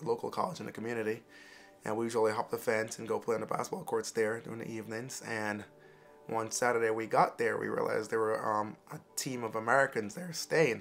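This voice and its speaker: Music in the background behind a man talking at a fairly quick pace. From Jamaica. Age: 20s. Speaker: interviewee. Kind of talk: personal storytelling. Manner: casual, halting with fillers.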